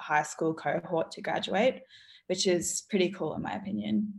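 Speaking in an Australian accent, a woman uses vocal fry at a moderate pace. The recording is very clean, with a silent background. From Australia, Gold Coast. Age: young. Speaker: university student and small business founder. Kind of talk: casual chat.

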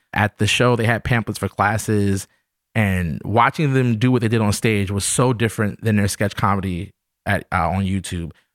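Delivered at a moderate pace, a normal speaking voice with an American accent has very even loudness and ordinary pitch variation, in a very clean recording with a silent background. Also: man, fairly low pitch for a man. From New York City. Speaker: actor and comedy writer. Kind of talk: casual chat.

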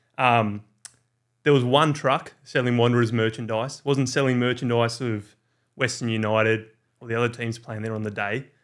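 On a very clean recording with a silent background, a man with an Australian accent talks in a monotone, flat intonation while his loudness swings widely. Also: medium pitch for a man, moderate pace. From Australia, Orange NSW. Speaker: football content creator. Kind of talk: casual chat.

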